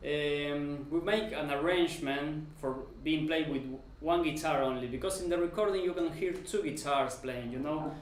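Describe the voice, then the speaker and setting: A man with a non-native accent and a fairly high pitch, at a moderate pace with ordinary pitch variation and audible room echo. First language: not English. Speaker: guitar teacher. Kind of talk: tutorial. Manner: halting.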